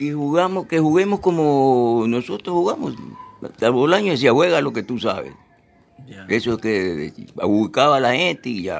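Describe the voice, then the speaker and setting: Fairly slow pace, big swings in loudness and very wide pitch swings. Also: man, medium pitch for a man. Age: 80s+. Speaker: retired footballer. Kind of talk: interview. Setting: at his home.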